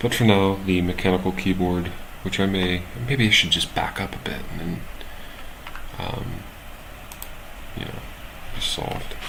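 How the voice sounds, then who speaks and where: Amid noticeable background noise and audible room echo, a man with a very deep, low pitch talks at a moderate pace, broken by long, frequent pauses. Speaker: live-streaming software developer. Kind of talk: casual live stream coding chat. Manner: halting, many fillers.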